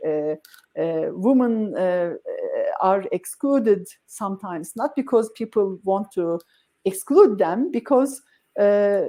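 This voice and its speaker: A woman's voice sits fairly high in pitch, with a dark, mellow tone. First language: not English. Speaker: tech company CEO. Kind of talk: interview. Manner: halting, many fillers.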